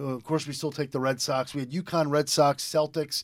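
In a plain, everyday voice, a man with an American accent speaks at a moderate pace, his pitch fairly high and his intonation fairly even. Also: very clean recording, silent background. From eastern Connecticut, US. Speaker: radio DJ. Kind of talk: casual radio interview.

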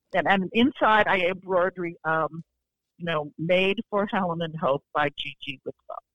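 A woman with a US Midwestern accent speaks in a fairly low voice. Her pace is fairly slow, and her pitch varies in an ordinary way. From Iowa. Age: 70s. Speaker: fiction writer. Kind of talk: interview.

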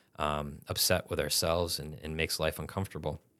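A man with an American accent talks at a fairly quick pace in a bright, sharp tone. The recording is very clean, with a silent background. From Massachusetts. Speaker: theology professor. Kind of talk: interview.

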